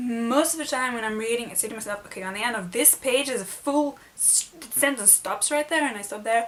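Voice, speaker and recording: A woman with a non-native accent speaks at a fairly high pitch, with hardly any pauses. Noticeable background noise runs underneath. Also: ordinary pitch variation, fairly quick pace. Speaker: book vlogger. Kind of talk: casual vlog tag video.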